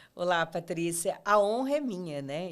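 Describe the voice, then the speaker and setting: This woman's voice sits fairly low. The background is silent, making for a very clean recording. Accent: São Paulo interior. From interior of São Paulo state, Ribeirão Preto. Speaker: podcast host, leadership coach. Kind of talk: interview.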